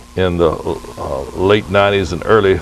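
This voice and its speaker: A man with a very deep, low pitch, music in the background. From Lake Wales, Florida. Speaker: citrus grower. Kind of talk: oral history interview answer.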